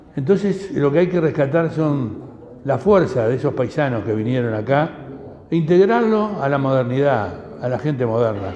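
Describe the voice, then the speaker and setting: Noticeable background noise and audible room echo surround this recording. A man at medium pitch speaks with lively intonation. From Uruguay. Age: 80s+. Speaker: speaker at community talk, descendant of Lebanese immigrants. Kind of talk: talk to an audience. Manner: halting, many repetitions.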